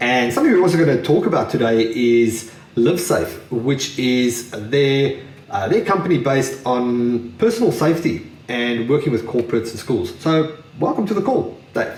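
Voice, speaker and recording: Medium in pitch, a man speaks at a moderate pace with lively intonation. Audible room echo surrounds his voice. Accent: South African. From South Africa. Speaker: podcast host. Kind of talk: scripted intro; podcast interview.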